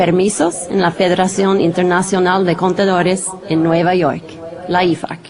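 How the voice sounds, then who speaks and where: Noticeable background noise runs behind a woman speaking with a non-native accent. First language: not Spanish (speaking Spanish). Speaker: translation department manager; presenter. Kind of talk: conference presentation. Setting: studio videoconference. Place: studio. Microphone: podium.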